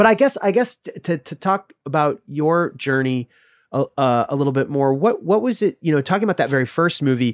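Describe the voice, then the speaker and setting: A plain, everyday voice from a man with an American accent and fairly high pitch, fairly quick and lively in intonation, with a dry, close sound and no echo. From US Midwest (Illinois). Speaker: podcast host. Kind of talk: casual interview chat.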